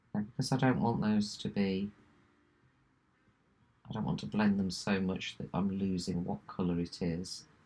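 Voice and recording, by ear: A woman speaks at an extremely low pitch with a dark, mellow tone and a slightly husky edge. Her moderate pace holds fairly even intonation and long, frequent pauses.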